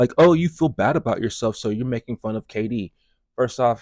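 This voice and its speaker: A man at medium pitch, fairly quick, with lively intonation and a dry, close sound with no echo. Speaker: music and commentary youtuber. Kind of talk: commentary on a video clip.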